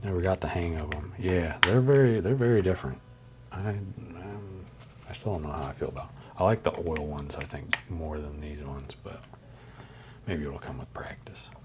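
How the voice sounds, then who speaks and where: A man's very deep, low voice, relaxed in tone, with lively intonation, big swings in loudness, a moderate pace and noticeable background noise. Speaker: artist streamer. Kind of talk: casual live stream chat while painting. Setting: live stream. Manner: relaxed, casual.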